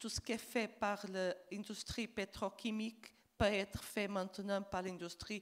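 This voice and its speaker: In a Portuguese accent, a woman speaks at a very slow pace. Her pitch sits at medium, and her intonation is monotone and flat. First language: Portuguese (speaking French). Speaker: diplomat. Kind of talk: panel discussion. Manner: halting.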